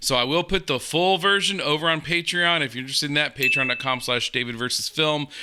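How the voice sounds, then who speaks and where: A man with an American accent speaks at a fairly quick pace and fairly high pitch. His tone is bright and sharp, and the recording is very clean with a silent background. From USA. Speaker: reaction video youtuber. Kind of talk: casual reaction commentary.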